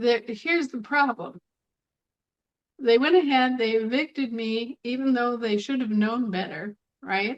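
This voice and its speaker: A woman with a high pitch and ordinary pitch variation speaks at a fairly slow pace, leaving long, frequent pauses. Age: 60s. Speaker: online talk show speaker on legal and sovereignty topics. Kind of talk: monologue to a live online audience. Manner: halting with frequent repetitions.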